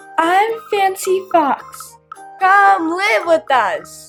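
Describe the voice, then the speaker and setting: A woman uses a put-on character voice at an extremely high pitch. She speaks at a very slow pace over faint music in the background. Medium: read story.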